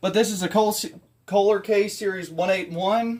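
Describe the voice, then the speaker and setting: A man speaking at a moderate pace. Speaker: DIY mechanic channel host. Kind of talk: tutorial. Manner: halting, many fillers.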